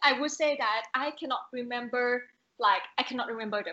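The speaker is a woman with a Thai accent. Her pitch varies in an ordinary way. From Thailand. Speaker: renewable energy professional, podcast guest. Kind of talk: casual interview chat.

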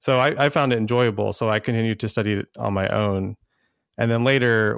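An ordinary speaking voice from a man with an American accent, fairly low in pitch, comes at a moderate pace with fairly even intonation, the recording dry, close and echo-free, very clean with a silent background. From Texas. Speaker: actuary. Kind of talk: casual interview.

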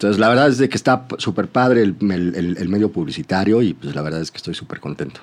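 A man with a Mexico City accent speaks at a very fast pace with hardly any pauses. His fairly low voice has lively intonation and big swings in loudness. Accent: Mexican Spanish (Mexico City). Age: 30s. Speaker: advertising creative. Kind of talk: casual interview chat. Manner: halting, repeats words.

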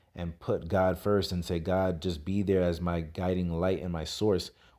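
A man talks with a very deep, low pitch and a dark, mellow tone in a New York accent. His moderate pace comes through on a very clean recording with a silent background. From New York City (Brooklyn, Queens). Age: 30s. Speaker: podcast host. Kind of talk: solo monologue, motivational talk. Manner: casual, hesitant with fillers.

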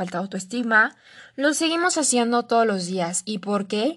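Over a quiet background, a woman with a Mexican accent speaks at a moderate pace and a fairly high pitch. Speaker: life coach. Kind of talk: solo podcast monologue.

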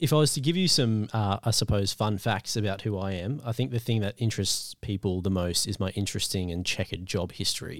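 Speaking at a fairly quick pace with hardly any pauses, a man with an unremarkable speaking voice uses a fairly low pitch and ordinary pitch variation on a very clean recording with a silent background. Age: 20s. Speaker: deacon. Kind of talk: casual interview.

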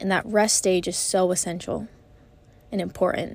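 Here a woman speaks at a moderate pace and fairly low pitch. Vocal fry runs through her voice. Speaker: podcast host. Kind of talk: solo motivational monologue. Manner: casual, rambling with fillers.

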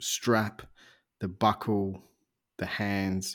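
Soft-spoken and fairly low, the man talks at a very slow pace with monotone, flat intonation. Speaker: podcast host. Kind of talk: interview. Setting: at home, remote call.

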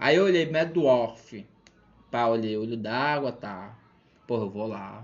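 In a Maranhão accent, a man at a medium pitch speaks very slowly with lively intonation, big swings in loudness and long, frequent pauses. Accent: Maranhão Brazilian Portuguese. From Brazil, São Luís, Maranhão. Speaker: math teacher and stand-up comedian. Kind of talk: casual chat.

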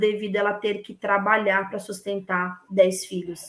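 At a fairly slow pace, a woman with an unremarkable speaking voice talks at medium pitch. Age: 30s. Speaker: women's football collective organizer. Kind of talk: casual interview.

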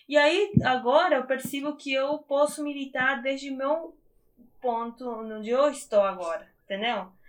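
Speaking with a Spanish accent, a woman keeps a fairly slow pace. Her high pitch shows ordinary variation. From Argentina, small town in Misiones. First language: Spanish (speaking Portuguese). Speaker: biologist and activist. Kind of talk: interview. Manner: hesitant, many fillers.

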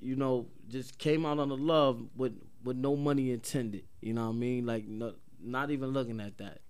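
Audible room echo surrounds a man speaking at a medium pitch and moderate pace with fairly even intonation. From Paterson, New Jersey. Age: 30s. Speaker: rapper. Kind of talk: casual chat. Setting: studio.

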